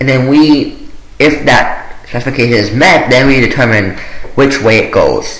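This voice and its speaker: At a moderate pace, a man speaks at a fairly high pitch with ordinary pitch variation and very even loudness, with noticeable background noise and audible room echo. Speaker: programming tutorial maker. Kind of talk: screen-recorded coding tutorial. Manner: hesitant with many fillers.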